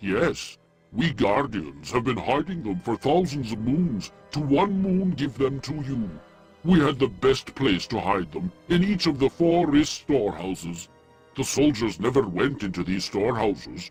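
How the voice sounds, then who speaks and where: A man uses a put-on character voice at a medium pitch. Faint music plays in the background. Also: moderate pace. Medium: video game. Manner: formal, measured.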